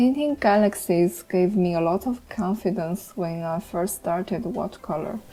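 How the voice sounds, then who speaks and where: A woman with a non-native accent and a dark, mellow tone speaks with hardly any pauses and ordinary pitch variation. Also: medium pitch for a woman, moderate pace. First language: not English. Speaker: art tutorial creator. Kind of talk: tutorial. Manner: some hesitations and fillers.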